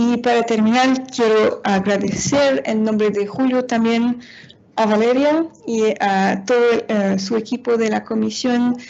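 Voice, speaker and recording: Fairly slow and fairly even in intonation, a woman speaks at a fairly high pitch. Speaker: international organization policy analyst. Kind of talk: seminar presentation. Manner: halting, many fillers.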